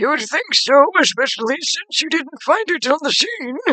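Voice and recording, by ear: A put-on character voice, high-pitched, at a moderate pace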